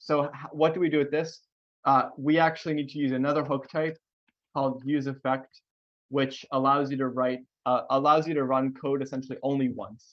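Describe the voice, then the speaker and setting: A man speaks at a fairly quick pace in a fairly high pitch, his intonation monotone and flat. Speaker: software engineer giving tech talk. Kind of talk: live coding tutorial. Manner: fast; hesitant with fillers.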